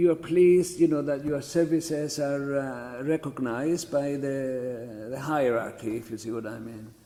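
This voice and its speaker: With a Greek Cypriot accent, a man speaks in a fairly high pitch with ordinary pitch variation and hardly any pauses. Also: moderate pace, big swings in loudness. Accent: Greek Cypriot, noticeable. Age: 70s. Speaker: church chanter. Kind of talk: oral history interview. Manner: halting.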